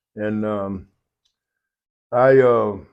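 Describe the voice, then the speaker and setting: A man with a West Texas accent speaks with lively intonation. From Lubbock, Texas. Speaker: podcast co-host, army veteran. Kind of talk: casual chat.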